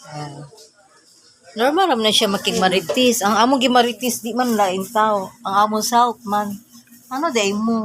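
Fairly high in pitch, a woman speaks at a fairly slow pace in an animated tone with lively intonation. Background noise is noticeable. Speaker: vlogger. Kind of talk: casual vlog chat. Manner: animated, laughing.

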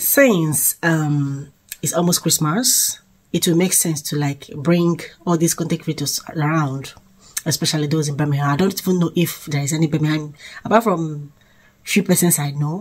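Her voice very deep and low for a woman and somewhat breathy, she speaks at a moderate pace with ordinary pitch variation against a quiet background. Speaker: vlogger. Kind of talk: casual vlog chat. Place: home room. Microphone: phone near.

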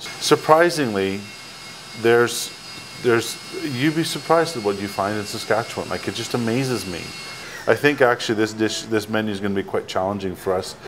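A man's fairly quick delivery amid noticeable background noise. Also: ordinary pitch variation. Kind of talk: interview answer. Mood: upbeat, enthusiastic. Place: cafe. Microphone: lapel.

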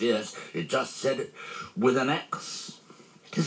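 Lively intonation in a natural reading voice

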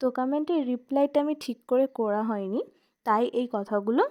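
A woman's high voice, dark and mellow in tone, with ordinary pitch variation. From West Bengal, India (Hooghly district). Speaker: vlogger. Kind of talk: casual vlog narration.

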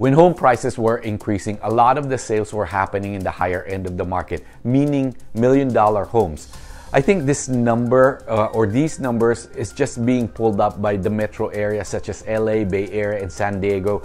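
A man's fairly low voice at a moderate pace over faint music in the background. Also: ordinary pitch variation. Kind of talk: market commentary. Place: studio. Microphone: lapel.

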